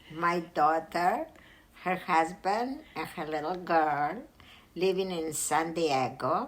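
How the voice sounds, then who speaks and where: Speaking at a very slow pace, a woman uses a fairly low voice with ordinary pitch variation. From Greece. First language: Greek. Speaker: retiree and homebuyer. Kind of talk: casual interview.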